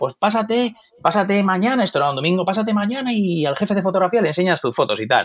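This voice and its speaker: Speaking at a very fast pace, a man with a high pitch uses lively intonation while keeping his loudness very even. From Madrid, Spain. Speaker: photographer. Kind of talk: interview. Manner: hesitant, with many fillers.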